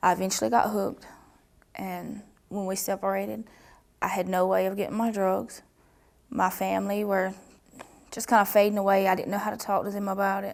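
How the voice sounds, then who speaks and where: A woman with a Southern US accent, fairly quick in pace, broken by long, frequent pauses. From US South. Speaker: trafficking survivor. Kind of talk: testimony. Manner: halting.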